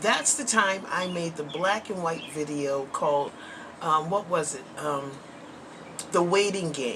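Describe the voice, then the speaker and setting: Recorded with audible room echo and noticeable background noise, a woman speaks at a fairly slow pace in a fairly low voice. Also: ordinary pitch variation. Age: 60s. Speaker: vlogger. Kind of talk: casual chat. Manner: conversational, frequent filler words.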